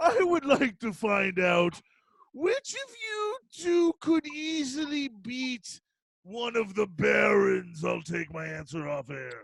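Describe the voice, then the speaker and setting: A put-on character voice with a fairly high pitch delivers its lines at a fairly slow pace. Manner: comical.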